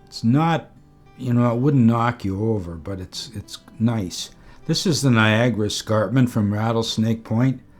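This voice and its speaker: Speaking in an unremarkable speaking voice, a man talks at a moderate pace and medium pitch with ordinary pitch variation. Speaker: photography vlogger. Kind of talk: casual tutorial narration. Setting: outdoors.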